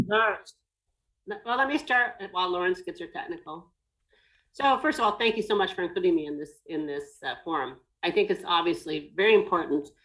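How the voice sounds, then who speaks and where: A woman with an American accent speaks at a fairly quick pace and a fairly high pitch, her voice making very wide pitch swings between long, frequent pauses. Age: 60s. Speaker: business owner in design and hospitality. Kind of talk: webinar panel discussion.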